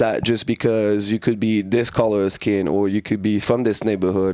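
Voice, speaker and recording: A man with a French accent talks at a fairly quick pace in a fairly low pitch. His intonation is monotone and flat, with noticeable background noise. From France. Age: 30s. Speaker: martial arts fighter and coach. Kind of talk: casual chat.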